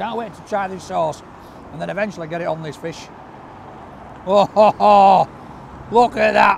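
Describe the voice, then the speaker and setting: At a moderate pace, a man speaks in a high pitch, the sound dry with no echo but carrying noticeable background noise. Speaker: food reviewer. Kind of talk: casual food review vlog. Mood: enthusiastic, delighted. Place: street. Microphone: camera far.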